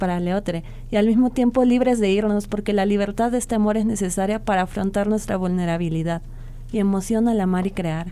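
This woman's voice sits at medium pitch, and she talks at a fairly quick pace with fairly even intonation. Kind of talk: spoken-word poetry reading, a slam-style love poem performed live on radio. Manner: passionate, intimate, lyrical and fervent, like a vow to a lover.

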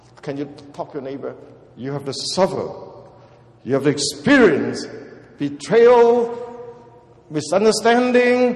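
A man's high voice with very wide pitch swings, big swings in loudness and long, frequent pauses, plus noticeable background noise. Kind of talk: sermon. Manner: emphatic, animated, call-and-response, repeating key words for the congregation.

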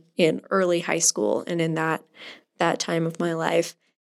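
A woman with an American accent has a plain, everyday voice, fairly low in pitch, with ordinary pitch variation. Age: 20s. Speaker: youth ministry volunteer leader and pianist. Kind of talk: interview.

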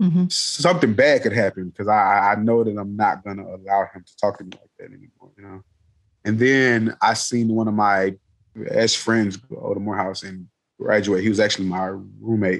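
With an American accent and an ordinary speaking voice, a man talks at a moderate pace in a fairly low pitch, with ordinary pitch variation and big swings in loudness. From US South, inner-city Atlanta, Georgia. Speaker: mathematician. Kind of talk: interview conversation. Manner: many fillers and repetitions.

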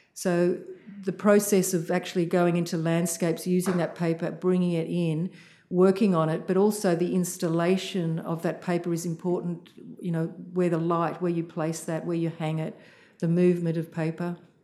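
A woman's dark, mellow tone in an Australian accent, monotone and flat, at a moderate pace. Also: fairly low pitch for a woman. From Australia (Sydney). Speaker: visual artist and art lecturer. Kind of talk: interview. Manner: halting, many fillers.

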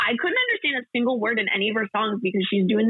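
The voice is gravelly with a husky, rough edge, shows ordinary pitch variation, and sounds dry and close with no echo. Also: woman.

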